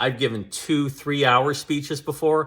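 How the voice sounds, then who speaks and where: The speaker is a man whose voice lies at a medium pitch. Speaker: public speaking coach and former EMS worker. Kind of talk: advice monologue. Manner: loud, projecting.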